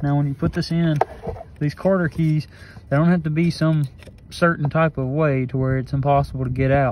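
The speech comes at a fairly quick pace, in a dry sound with no echo and noticeable background noise. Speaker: tractor owner doing a repair. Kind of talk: tutorial. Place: farm machine. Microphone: phone near.

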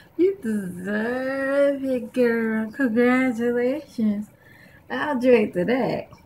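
Light background noise sits behind a woman speaking very slowly. Her pitch is high, with ordinary variation. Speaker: comic skit creator. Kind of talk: comedy skit with character voices. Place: home room. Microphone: webcam.

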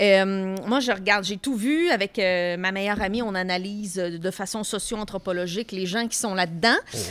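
Speaking at a moderate pace with hardly any pauses, a woman keeps an ordinary pitch variation. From Quebec, Tracy; Quebec. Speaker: comedian podcast co-host, pop culture columnist; comedian podcast co-host. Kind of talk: casual chat. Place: studio. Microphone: studio mic.

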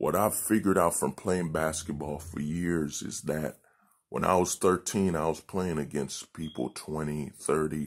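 Against a quiet background, vocal fry marks speech at a fairly slow pace with fairly even intonation. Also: man. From Haiti. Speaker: nonprofit founder. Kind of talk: appeal video monologue. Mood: earnest, thoughtful. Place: home room. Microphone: phone near.

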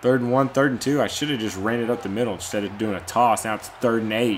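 Light background noise sits behind a man as he speaks. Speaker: gamer commentator. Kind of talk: live gameplay commentary.

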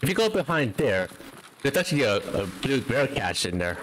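A man at medium pitch and moderate pace, his pitch swinging very widely, with noticeable background noise. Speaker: VTuber game streamer. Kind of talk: casual gaming stream chat. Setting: late-night stream at 3 AM. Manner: loud.

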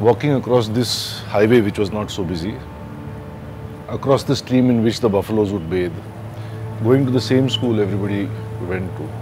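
A man speaks at a moderate pace with long, frequent pauses, his pitch fairly low with ordinary variation. Music plays in the background. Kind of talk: interview answer. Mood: calm, reflective. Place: garden.

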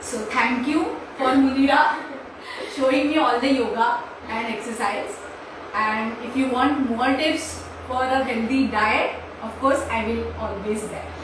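The recording carries noticeable background noise and strong room echo. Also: woman. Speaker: naturopathy doctor. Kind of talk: short talk. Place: home room. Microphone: camera far.

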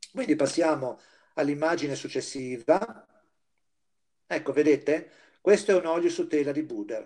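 A dark, mellow tone at a moderate pace, with ordinary pitch variation, long, frequent pauses and a quiet background. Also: man, fairly high pitch for a man. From Liguria, Chiavari area; Liguria, Italy. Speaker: volunteer teacher giving an art history lecture. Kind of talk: lecture. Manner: halting, with frequent fillers. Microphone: video call.

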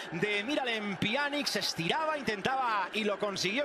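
A man speaks at a moderate pace in a raised, projected voice, his pitch high, over noticeable background noise. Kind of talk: live commentary.

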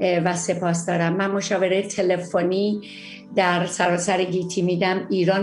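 Over faint music in the background, a woman speaks at a fairly slow pace with monotone, flat intonation. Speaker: psychologist hosting a TV segment. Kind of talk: talk show monologue. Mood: warm and friendly. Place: home room. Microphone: webcam.

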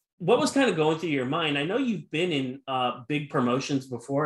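A man's voice with audible room echo against a quiet background. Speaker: podcast interviewer. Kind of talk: interview question. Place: home room.

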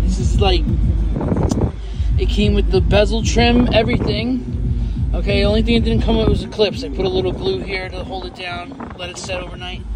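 A man is speaking over loud background noise. The sound is dry with no echo. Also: moderate pace. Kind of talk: casual product demo chat. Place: car. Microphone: phone near.

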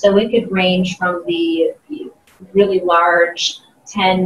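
A woman with an American accent speaks at a very slow pace and medium pitch, with audible room echo and light background noise. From US Midwest, Ohio (Columbus). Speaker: sales trainer and keynote speaker; sales trainer, keynote speaker. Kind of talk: interview. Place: meeting room.

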